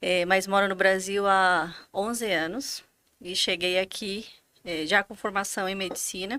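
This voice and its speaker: This woman has a Bolivian accent and a bright, sharp tone. She talks at a fairly slow pace with fairly even intonation, on a very clean recording with a silent background. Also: medium pitch for a woman. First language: Spanish (speaking Portuguese). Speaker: physician, finance director. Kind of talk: podcast interview.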